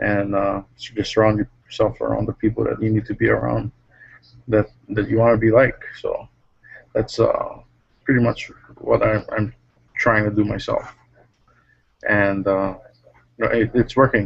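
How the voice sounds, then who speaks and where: A man speaks quietly at a moderate pace. He leaves long, frequent pauses. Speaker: network marketing member. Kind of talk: casual chat on video call. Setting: video call from workplace.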